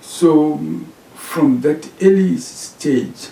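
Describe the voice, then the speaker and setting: A man with a Zimbabwean accent speaks at a very slow pace. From Zimbabwe, eastern part. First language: Shona. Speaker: professor. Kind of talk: interview. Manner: hesitant, with many fillers.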